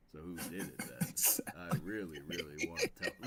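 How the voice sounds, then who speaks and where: A man puts on a character voice pitched very deep and low. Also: moderate pace. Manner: menacing, deadpan.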